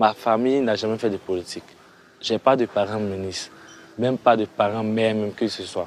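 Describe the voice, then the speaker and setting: With an ordinary speaking voice, a man talks at a moderate pace, fairly low in pitch and with fairly even intonation. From Côte d'Ivoire, Toumodi. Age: 20s. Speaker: resident who lost his home. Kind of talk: testimony.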